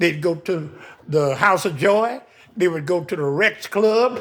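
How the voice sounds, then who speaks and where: With an American accent, a man speaks at a fairly slow pace with lively intonation. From US West Coast, West Oakland, California. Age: 80s+. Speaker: local elder. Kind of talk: oral history interview.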